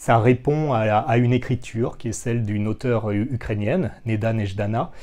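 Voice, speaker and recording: The man's tone is dark and mellow, with ordinary pitch variation. He talks at a fairly slow pace over a quiet background. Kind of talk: interview answer. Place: workshop. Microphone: lapel.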